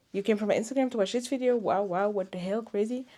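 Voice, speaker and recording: With a non-native accent and a dark, mellow tone, a woman speaks in a very clean recording with a silent background. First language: not English. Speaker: knitting podcaster. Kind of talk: casual chat. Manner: animated.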